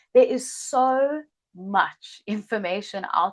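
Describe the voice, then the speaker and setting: A woman in a South African accent, with ordinary pitch variation and a quiet background. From South Africa, Cape Town. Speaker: healer and yoga teacher. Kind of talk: online masterclass introduction.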